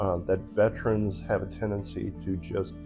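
A man's fairly low voice at a moderate pace, with clear music in the background. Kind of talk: interview answer. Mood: calm, earnest. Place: home room. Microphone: phone near.

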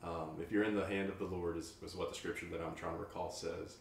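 Amid light background noise and audible room echo, a man talks at a fairly quick pace in a very deep, low, somewhat breathy voice with monotone, flat intonation. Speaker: podcast host. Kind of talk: casual chat. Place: home room.

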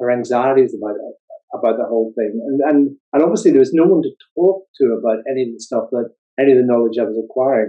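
A man with a Northern Irish accent at a fairly quick pace, quiet background. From Northern Ireland. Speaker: psychology professor and author. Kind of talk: interview. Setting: video call. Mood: warm, smiling, reflective. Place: home room. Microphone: video call.

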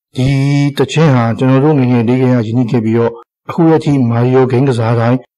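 His intonation stays fairly even, and his tone is dark and mellow. The man's pitch is medium. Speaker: video game hobbyist. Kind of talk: scripted narration. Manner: formal.

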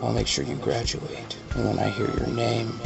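A man speaks at a moderate pace. Clear music is heard in the background. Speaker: expectant father. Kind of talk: heartfelt personal address. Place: home room. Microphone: phone near.

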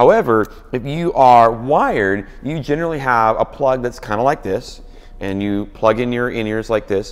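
Lively intonation and a moderate pace from a man. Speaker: worship leader blogger. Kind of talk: product review tutorial. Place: office. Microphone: lapel.

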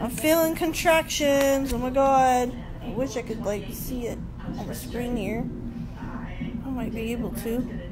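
Over clear background music, a woman talks fairly slowly with ordinary pitch variation. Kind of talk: casual phone video chat. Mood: strained, excited. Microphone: phone near.

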